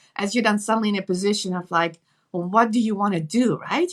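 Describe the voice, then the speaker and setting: Speaking with a Dutch accent, a woman uses medium pitch and ordinary pitch variation. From Netherlands. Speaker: nurse and entrepreneur. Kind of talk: interview.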